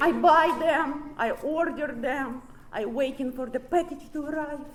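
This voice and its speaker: Noticeable background noise sits behind a woman whose high-pitched voice holds a fairly even intonation. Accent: Russian. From Ukraine. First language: Russian. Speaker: recovery speaker. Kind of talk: recovery meeting talk. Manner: halting.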